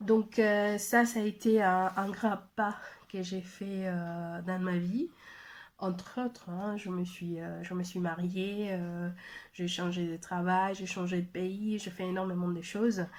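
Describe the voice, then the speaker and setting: A woman's medium-pitched voice, very slow and flat in a monotone. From Mexico. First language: Spanish (speaking French). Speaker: language trainer and translator. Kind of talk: personal testimony video message. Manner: halting, many hesitations.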